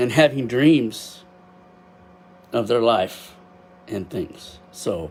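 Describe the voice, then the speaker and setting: Man's medium-pitched voice, very slow with long, frequent pauses and lively intonation, against noticeable background noise. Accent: Texas. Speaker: amateur astrophotographer. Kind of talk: casual livestream talk. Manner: loud. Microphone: built-in webcam microphone.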